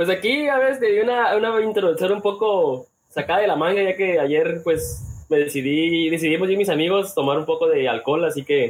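A man with a Mexican accent speaks at a high pitch. His pace is moderate and his loudness very even. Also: lively intonation. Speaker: podcast host. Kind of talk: casual chat.

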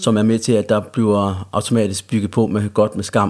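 Speaking at a fairly slow pace, a man talks with a Jutlandic accent. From Central Jutland, Denmark. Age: 30s. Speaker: recovering addict. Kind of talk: casual chat.

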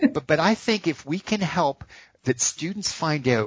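A man talks at a fairly slow pace with very wide pitch swings. His voice is somewhat breathy. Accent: American. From US Northeast, Boston area. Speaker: education professor. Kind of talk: interview. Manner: animated.

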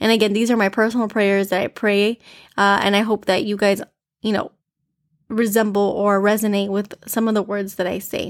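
Very clean recording, silent background, with a woman speaking in an ordinary speaking voice with an American accent. Her pitch is medium and her pace moderate. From US, Miami, Florida. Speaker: devotional podcast host. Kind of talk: devotional talk. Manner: informal, conversational.

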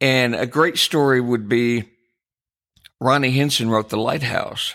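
A man with an American accent talks at a fairly slow pace and a medium pitch in a bright, sharp tone, in a very clean recording with a silent background. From US Midwest (Jackson, Michigan). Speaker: podcast co-host, songwriter and music publisher. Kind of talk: casual chat.

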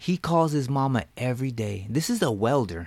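There's an unremarkable speaking voice here from a man with lively intonation. He talks at a moderate pace. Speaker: podcast host. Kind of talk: casual podcast chat.

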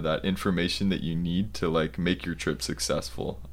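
With an American accent, a man talks at a moderate pace with lively intonation. Vocal fry marks his voice. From US Southwest (Arizona). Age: 20s. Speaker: university student. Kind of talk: interview. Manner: halting, many fillers.

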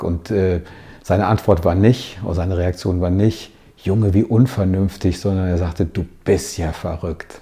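Very deep and low, a man's somewhat breathy voice has a dark, mellow tone, fairly even intonation and a fairly slow pace. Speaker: coach. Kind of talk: motivational video monologue.

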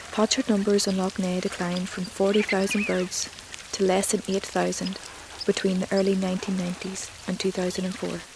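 Calm, soothing woman's voice of medium pitch, monotone and flat, at a fairly slow pace against noticeable background noise. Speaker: nature documentary narrator. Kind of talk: nature documentary narration, scripted and read aloud. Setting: soundscape with wildlife sounds and music. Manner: calm, measured and soothing.

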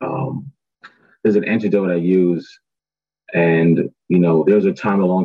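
A man with an American accent, his very deep, low pitch carried in fairly even intonation. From Brooklyn, New York. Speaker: clean tech startup co-founder. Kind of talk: panel discussion on webinar.

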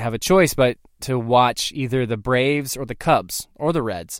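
A man's medium-pitched voice with an American accent, at a moderate pace, in a very clean recording with a silent background. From US South, Tennessee (Hendersonville). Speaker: podcast host and bat company founder. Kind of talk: solo storytelling podcast. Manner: halting with many repetitions and fillers.

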